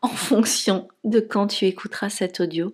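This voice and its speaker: A woman at medium pitch, very slow and monotone, flat in intonation, on a very clean recording with a silent background. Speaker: spiritual relationship coach. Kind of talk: podcast monologue.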